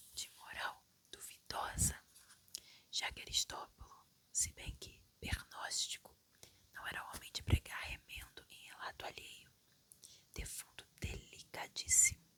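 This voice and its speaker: A woman's whisper, fairly slow, with long, frequent pauses and big swings in loudness. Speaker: ASMR reader. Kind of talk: sleep story reading. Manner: whispered, soft.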